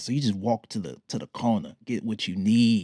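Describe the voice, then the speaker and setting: A man with an American accent speaks with very wide pitch swings. The recording is very clean, with a silent background and a dry, close sound with no echo. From Detroit, US. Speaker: podcast host and life coach. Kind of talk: motivational monologue. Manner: animated.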